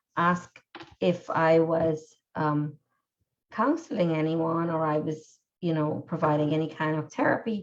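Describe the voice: Her voice is low-pitched, the intonation fairly even, as this woman speaks at a slow pace.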